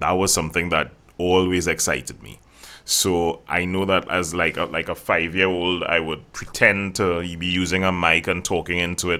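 A man speaks in a Trinidadian accent with a very deep, low pitch and a bright, sharp tone. His intonation is monotone and flat at a moderate pace, on a very clean recording with a silent background. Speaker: voice coach and voiceover artist. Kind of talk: casual interview chat.

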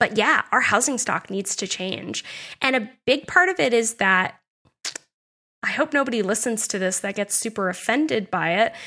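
An American woman speaks at a moderate pace in a fairly high pitch, with a bright, sharp, animated tone and lively intonation. The recording is very clean, with a silent background. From US New England (New Hampshire). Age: 30s. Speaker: podcast co-host and housing advocate. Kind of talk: interview.

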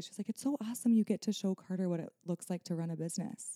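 The woman's dark, mellow tone comes across dry and close, with no echo. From Nebraska. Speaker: wedding photographer. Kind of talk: casual chat. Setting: studio.

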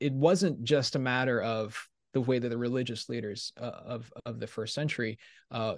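With a plain, everyday voice, a man talks at a moderate pace and medium pitch, with ordinary pitch variation, over a quiet background. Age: 40s. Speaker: theology professor. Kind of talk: casual interview.

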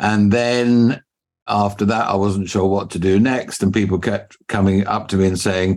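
This man speaks with an English accent. His pitch is fairly low and his intonation fairly even. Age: 60s. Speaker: business mentor. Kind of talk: interview. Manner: formal.

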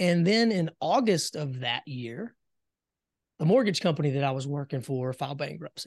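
An unremarkable speaking voice from a man with an American accent, fairly high in pitch, lively in intonation, at a moderate pace in a quiet background. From US South, South Carolina. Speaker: business coach and entrepreneur. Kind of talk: interview conversation.

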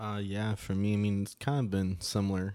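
With a very deep, low pitch and a dark, mellow tone, a man speaks at a moderate pace. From Cayman Islands. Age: 20s. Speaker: fraternity member, college student. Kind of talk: casual interview.

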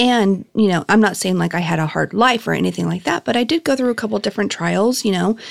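A woman with an American accent speaks at a very fast pace with hardly any pauses. The recording is very clean, with a silent background. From Southern California (Norwalk). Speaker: lifestyle content creator. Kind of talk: interview.

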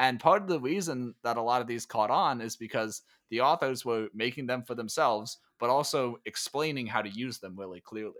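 The clip has an unremarkable speaking voice with ordinary pitch variation. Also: man, medium pitch for a man, fairly quick pace. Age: 20s. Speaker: tech writer and author. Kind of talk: interview. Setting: remote call.

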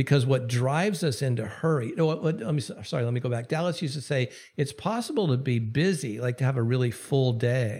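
The voice has a dark, mellow tone, somewhat breathy, and runs on with hardly any pauses. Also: man, medium pitch for a man, ordinary pitch variation. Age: 60s. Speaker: Anglican bishop and author. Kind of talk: interview.

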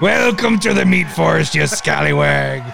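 Against clear background noise, a man performs a put-on character voice at a moderate pace. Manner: playful, jokey.

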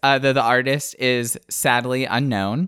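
A man at medium pitch and moderate pace, with an ordinary speaking voice. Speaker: podcast co-host.

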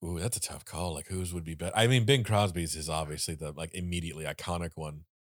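Very fast and very deep, a man's low voice moves with ordinary pitch variation. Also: very clean recording, silent background. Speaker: podcast host. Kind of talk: casual chat.

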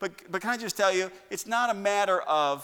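A man speaks in a raised, projected voice with a high pitch, ordinary pitch variation and a fairly quick pace. His tone is animated, bright and sharp. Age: 50s. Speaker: pastor. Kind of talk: sermon. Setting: church. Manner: animated, excitable preacher who gets carried away; conversational, humorous, with direct appeals to the congregation.

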